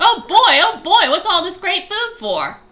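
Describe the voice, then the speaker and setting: Putting on a character voice, a woman speaks at an extremely high pitch. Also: fairly slow pace. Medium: game stream. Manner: self-satisfied.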